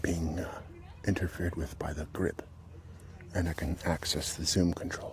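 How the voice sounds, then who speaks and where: Soft-spoken and whispering, a man talks at a moderate pace with noticeable background noise behind him. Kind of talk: casual talk to camera, walking vlog. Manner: soft-spoken, whispered.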